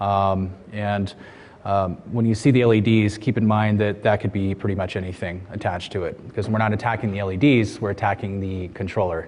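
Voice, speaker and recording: With an American accent, a man speaks fairly quickly at a fairly low pitch in monotone, flat intonation, with audible room echo and noticeable background noise. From USA. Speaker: security researcher. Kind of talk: conference talk. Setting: stage with audience.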